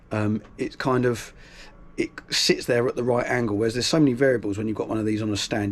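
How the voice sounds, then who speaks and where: A man speaks very fast at a medium pitch with fairly even intonation. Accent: British. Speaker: guitarist. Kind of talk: tutorial. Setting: small room at home. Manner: casual, hesitant with fillers.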